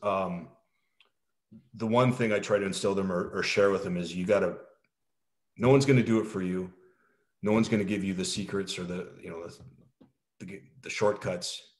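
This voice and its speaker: A man with a Canadian accent and a normal speaking voice, fairly low in pitch, at a moderate pace with fairly even intonation and big swings in loudness. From Canada. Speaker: military veteran, helicopter pilot. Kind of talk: casual interview.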